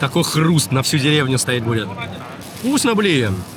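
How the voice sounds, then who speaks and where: A man talks at a moderate pace in a fairly high voice. Noticeable background noise sits behind him. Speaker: travel video blogger. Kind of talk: casual travel vlog.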